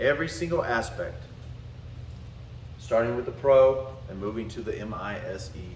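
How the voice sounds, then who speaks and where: A man with a Southern US accent speaks at a moderate pace, his loudness swinging widely and his pauses long and frequent. Music plays in the background, and the room echo is audible. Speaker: spiritual and martial arts teacher. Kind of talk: lecture.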